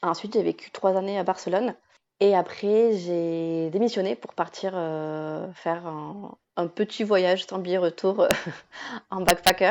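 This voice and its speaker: Speaking at a fairly slow pace, the woman keeps a medium pitch and fairly even intonation. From France, Basque Country (Bayonne). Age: 30s. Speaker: digital nomad, travel communication agency owner. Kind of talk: podcast interview. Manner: hesitant, many fillers.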